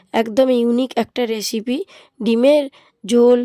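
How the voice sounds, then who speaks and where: A woman's high, dark and mellow voice with fairly even intonation, in a dry, close sound with no echo. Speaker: cooking channel host. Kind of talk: cooking tutorial.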